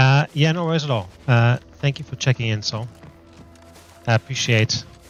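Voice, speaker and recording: Music plays in the background as a man talks at a moderate pace in a relaxed tone. His pitch is medium, with ordinary pitch variation. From Germany. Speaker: gaming streamer. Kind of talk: casual live stream chat. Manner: relaxed, hesitant with fillers.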